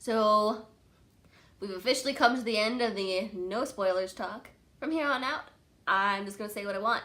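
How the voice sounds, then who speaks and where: A woman with an American accent talks at a moderate pace in a bright, sharp, animated tone. She leaves long, frequent pauses. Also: fairly high pitch for a woman, ordinary pitch variation. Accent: slight Texan accent, toned down. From Texas. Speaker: book reviewer. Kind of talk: casual chat. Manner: filler-heavy.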